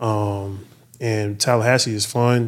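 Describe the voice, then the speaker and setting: Recorded very cleanly against a silent background, a man speaks in an American accent. His pitch is fairly low and his intonation monotone and flat. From US South, Stone Mountain, Georgia. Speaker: former pro football player, security head. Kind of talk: casual interview chat.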